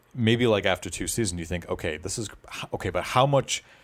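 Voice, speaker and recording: On a very clean recording with a silent background, a man with an American accent speaks in a fairly low pitch with ordinary pitch variation. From Boston area. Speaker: podcast host. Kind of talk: casual chat.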